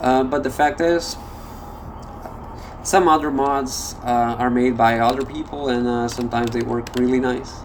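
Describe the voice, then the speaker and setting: A man at medium pitch speaks at a moderate pace with fairly even intonation and long, frequent pauses. Audible room echo and noticeable background noise surround him. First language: not English. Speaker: gameplay video creator. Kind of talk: gameplay commentary. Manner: halting, many fillers.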